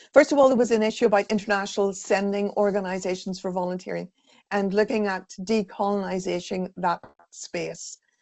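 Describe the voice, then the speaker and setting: Fairly quick and fairly even in intonation, a woman speaks at a medium pitch in an Irish accent. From Ireland. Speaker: volunteering sector consultant. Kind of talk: webinar presentation.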